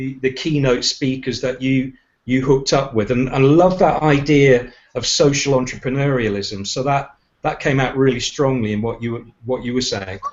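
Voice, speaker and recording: A man with a British accent talks at a moderate pace and medium pitch, with fairly even intonation. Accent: UK. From United Kingdom. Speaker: leadership and communications trainer. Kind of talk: casual chat. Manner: halting, many repeated words.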